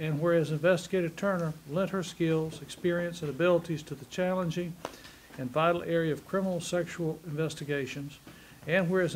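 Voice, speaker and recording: With light background noise behind him, a man speaks at a fairly quick pace in a monotone, flat intonation. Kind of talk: formal reading of a resolution. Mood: solemn memorial tone. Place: meeting room.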